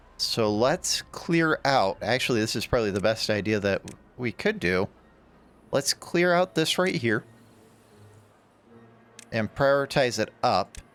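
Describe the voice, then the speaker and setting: With music in the background, a man speaks at a fairly slow pace and a medium pitch, using very wide pitch swings. The sound is dry and close with no echo, and he takes long, frequent pauses. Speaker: gaming YouTuber. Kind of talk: casual let's play commentary.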